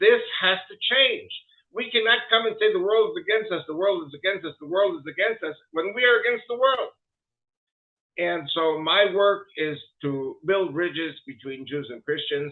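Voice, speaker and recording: A man with an American accent speaks at a moderate pace and a high pitch. His intonation is lively, and his loudness swings widely. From New York, US. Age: 70s. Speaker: politician and lecturer. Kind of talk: interview.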